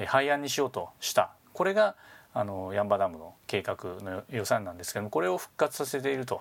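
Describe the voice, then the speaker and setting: Recorded very cleanly against a silent background, a man with a plain, everyday voice speaks at a fairly low pitch. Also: lively intonation, fairly quick pace. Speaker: business English instructor and podcast host. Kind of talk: tutorial.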